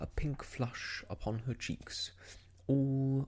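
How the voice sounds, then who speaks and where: The speaker is soft-spoken with a gentle tone. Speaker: audiobook reader, ASMR storyteller. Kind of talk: audiobook reading of a classic novel. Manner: soft-spoken, gentle.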